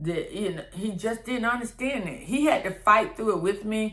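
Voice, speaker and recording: A woman's voice over music in the background. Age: 60s. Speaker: lifestyle vlogger. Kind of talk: personal vlog monologue. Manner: conversational, repetitive.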